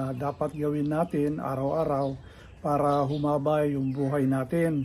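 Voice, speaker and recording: This man's pitch is fairly high. He speaks at a fairly slow pace with monotone, flat intonation. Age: 70s. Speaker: senior health vlogger. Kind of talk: casual vlog talk. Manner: hesitant, many fillers.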